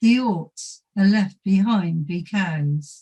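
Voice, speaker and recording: In a Dorset accent, a woman speaks at a medium pitch with a dark, mellow tone and a somewhat breathy voice. Her pace is very slow, with ordinary pitch variation. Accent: Dorset dialect reading. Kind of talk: poetry reading.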